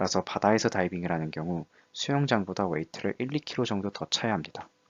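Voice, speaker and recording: A man with a very deep, low voice talks at a very fast pace with lively intonation. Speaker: student diving club lecturer. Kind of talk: lecture.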